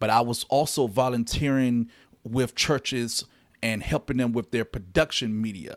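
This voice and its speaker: An unremarkable speaking voice, a man with an American accent talks at a medium pitch and moderate pace with fairly even intonation, in a very clean recording with a silent background and a dry, close sound with no echo. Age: 30s. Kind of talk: solo podcast monologue.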